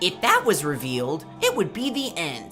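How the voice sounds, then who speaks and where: A man does a put-on character voice, high in pitch and at a moderate pace. Clear music plays in the background. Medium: game stream. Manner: gleeful, mocking.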